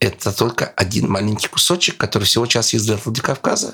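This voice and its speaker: A man with an unremarkable speaking voice talks at a fairly low pitch with ordinary pitch variation. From Russian Far East, Sakhalin. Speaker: journalist and lecturer, travel expert. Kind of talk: interview, casual travel storytelling.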